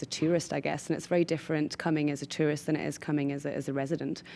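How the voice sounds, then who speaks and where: A woman with a Geordie accent and a very deep, low pitch, fairly even intonation and a very fast pace, on a very clean recording with a silent background. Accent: English, Geordie (noticeable). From northern England, Newcastle upon Tyne. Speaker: business founder. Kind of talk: interview.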